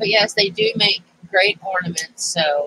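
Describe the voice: A woman with a fairly low pitch and very wide pitch swings sounds nasal, with a bright, sharp tone, a slightly husky edge and vocal fry. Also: fairly slow pace, dry, close sound with no echo.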